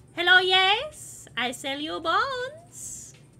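A woman puts on a character voice with an extremely high pitch and a non-native accent. Her pitch swings very widely at a very slow pace. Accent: weird ethereal foreign. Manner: odd, otherworldly.

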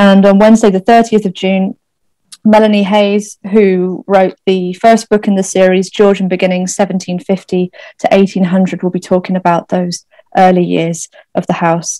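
Intonation stays flat and monotone in a dark, mellow tone. The sound is dry with no echo, and the background is quiet. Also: woman, moderate pace. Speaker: event moderator. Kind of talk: event introduction and Q&A moderation. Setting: video call. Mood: warm, appreciative. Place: home room. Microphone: webcam.

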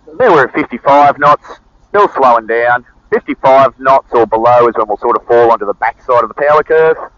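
With a dry sound and no echo, a man speaks fairly quickly. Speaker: flight instructor pilot. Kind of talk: instructional flying commentary. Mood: calm and focused. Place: plane. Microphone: headset.

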